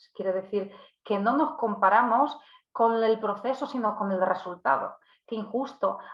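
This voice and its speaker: This woman speaks with a Polish accent. Her pitch is fairly high. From Poland. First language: Polish (speaking Spanish). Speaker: psychologist and workshop speaker. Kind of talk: online workshop talk. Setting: live video stream. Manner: hesitant, many fillers and restarts.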